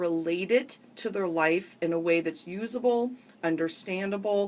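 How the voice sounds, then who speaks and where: A plain, everyday voice with an American accent. It moves at a fairly slow pace with ordinary pitch variation. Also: woman. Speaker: radio show host, psychotherapist. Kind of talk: talk radio hosting.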